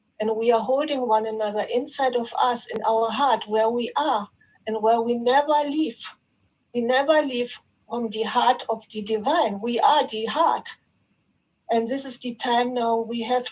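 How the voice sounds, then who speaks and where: Speaking with a non-native accent at a fairly slow pace, a woman uses a high pitch that varies in an ordinary way. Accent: non-native English, apologizes for it. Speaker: participant in online spiritual session. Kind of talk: spiritual sharing in group call. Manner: halting, with fillers and repetitions.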